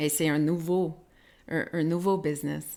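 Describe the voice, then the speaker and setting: This woman speaks very slowly with an English accent, her pitch very deep and low. Her intonation stays monotone and flat, on a very clean recording with a silent background. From Quebec. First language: English (speaking French). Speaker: podcast host. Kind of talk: interview. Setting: live stream. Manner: halting, many repetitions.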